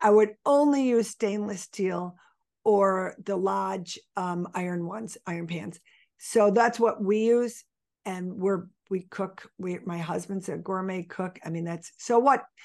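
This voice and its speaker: A woman with a Western New York accent talks at a fairly slow pace against a quiet background. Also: medium pitch for a woman, ordinary pitch variation. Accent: Western New York American. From Buffalo, New York. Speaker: health coach. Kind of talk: interview.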